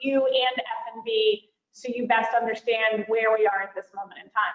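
With audible room echo, a woman talks at a high pitch and a moderate pace, keeping her intonation fairly even. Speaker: school board chair. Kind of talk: public committee meeting. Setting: video call. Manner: formal. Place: home room. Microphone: video call.

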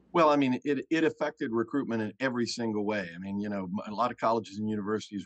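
A man's fairly quick voice, dry with no echo, over a quiet background. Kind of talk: interview answer. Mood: candid, relaxed, some laughter. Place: home room. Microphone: video call.

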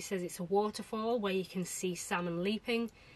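At a moderate pace, a woman talks with monotone, flat intonation. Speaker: travel vlogger. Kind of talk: casual vlog chat. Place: home room.

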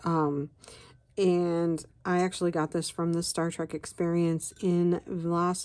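Against a quiet background, a woman speaks very slowly in a fairly low voice with a dark, mellow tone. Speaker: coloring and tea video host. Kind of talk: casual chat while coloring. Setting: home video recording. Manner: casual, chatty, with filler words.

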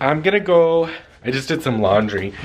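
Noticeable background noise sits under a man talking at a moderate pace. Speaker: vlogger. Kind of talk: casual vlog chat. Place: home room. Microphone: phone near.

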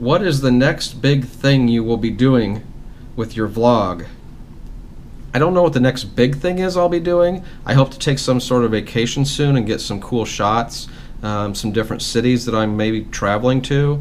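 Against light background noise, a man speaks at a moderate pace with ordinary pitch variation. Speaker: vlogger. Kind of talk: casual vlog Q&A. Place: home room. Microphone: phone near.

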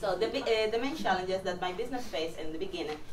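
A woman's voice with light background noise and audible room echo. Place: classroom.

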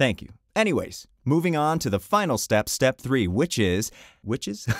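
Against a quiet background, a man talks at a fairly slow pace with vocal fry and very wide pitch swings. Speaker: voice coach youtuber. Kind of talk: tutorial. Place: studio. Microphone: studio mic.

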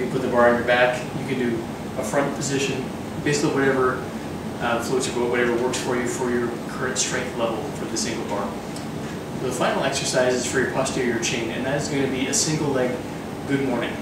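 Speech comes at a very fast pace amid loud background noise and audible room echo. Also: man. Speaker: fitness instructor. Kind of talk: tutorial. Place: gym. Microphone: camera far.

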